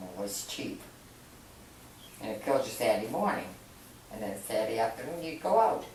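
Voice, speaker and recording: A woman's very deep, low voice in a Boston accent, fairly quick with lively intonation, big swings in loudness and long, frequent pauses, amid noticeable background noise and audible room echo. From Massachusetts, Medford near Boston. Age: 70s. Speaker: grandmother interviewed about her youth. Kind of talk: family interview.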